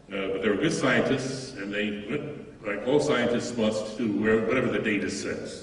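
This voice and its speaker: Noticeable background noise accompanies a man whose medium-pitched voice varies in pitch in an ordinary way. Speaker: physicist and author, debater. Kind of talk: formal debate. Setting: stage with audience. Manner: halting, with fillers.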